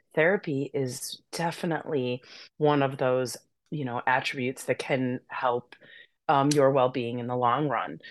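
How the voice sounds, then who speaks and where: A woman with an American accent speaks fairly slowly in a very deep, low voice. Her intonation is fairly even, and the background is quiet. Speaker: massage therapist and yoga instructor. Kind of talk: casual interview chat. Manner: calm, peaceful.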